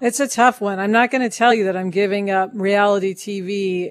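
In a normal speaking voice, a woman talks at a moderate pace with medium pitch and ordinary pitch variation. The background is quiet. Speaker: podcast co-host, writer and producer. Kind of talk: casual co-hosted podcast chat.

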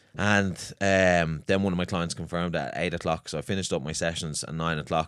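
A man in a Dublin accent speaks at a fairly quick pace with a very deep, low pitch and fairly even intonation, in a very clean recording with a silent background. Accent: Dublin Irish. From Ireland, Swords, north County Dublin. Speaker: personal trainer and gym owner. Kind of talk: casual chat.

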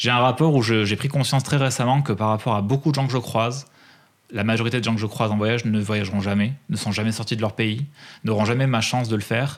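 A man's medium-pitched voice at a very fast pace, with fairly even intonation and very even loudness. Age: 30s. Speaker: freelance music press agent and traveller. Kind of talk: casual interview.

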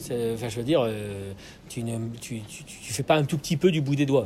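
This man has a normal speaking voice and keeps a moderate pace. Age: 40s. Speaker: podcast host interviewing an artist. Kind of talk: casual interview. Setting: at the guest's home, with birds.

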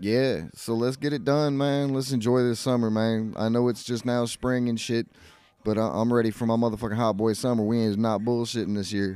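The man's dark, mellow voice keeps a very even loudness and fairly even intonation as he talks at a fairly quick pace. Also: medium pitch for a man. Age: 40s. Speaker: podcast host. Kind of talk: casual chat. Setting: garage.

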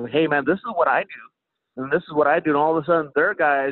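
A man speaks in a plain, everyday voice with an American accent. His pitch sits fairly high. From Kansas City, US Midwest. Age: 30s. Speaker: professional MMA fighter. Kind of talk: interview. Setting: remote call.

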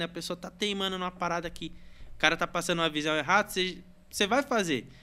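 On a very clean recording with a silent background, a high-pitched man uses a raised, projected voice with a bright, sharp tone at a very fast pace. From Brazil, São Paulo state (Santa Isabel). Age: 20s. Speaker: graffiti artist. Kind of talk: casual chat.

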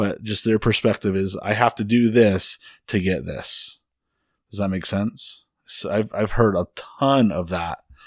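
With a normal speaking voice, a man speaks fairly slowly at a fairly low pitch with ordinary pitch variation, recorded dry and close with no echo. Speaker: therapist and co-host. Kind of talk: casual chat.

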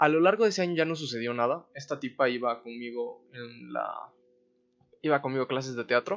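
A man with a Mexican accent talks at a fairly quick pace. His medium pitch shows ordinary variation. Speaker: podcast host. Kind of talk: solo storytelling monologue. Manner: casual, profanity-laden slang.

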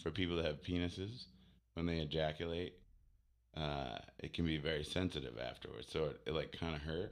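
A man's playful tone, very deep and low, with vocal fry. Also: ordinary pitch variation. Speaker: podcast co-host. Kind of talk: casual chat. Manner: joking, playful.

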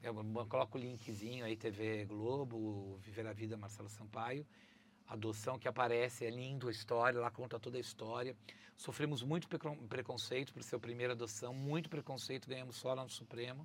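A man speaks at a moderate pace and a medium pitch. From Brazil. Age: 50s. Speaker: travel content creator and presenter. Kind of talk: casual interview chat. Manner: animated.

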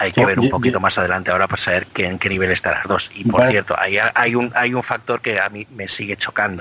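Delivered at a very fast pace with hardly any pauses, the speech has fairly even intonation against noticeable background noise. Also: man, fairly low pitch for a man. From Spain, Biscay (Basque Country). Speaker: motorsport podcast co-host. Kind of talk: casual chat.

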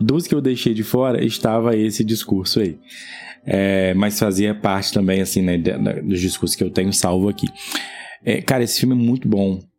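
A man with a fairly low pitch talks at a moderate pace, his loudness very even and his pitch variation ordinary. Noticeable background noise runs underneath. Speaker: film podcast host. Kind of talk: casual chat.

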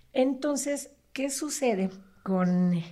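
With lively intonation, a woman speaks in a dark, mellow tone that is somewhat breathy. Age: 40s. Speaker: psychologist. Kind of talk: casual interview explaining psychology.

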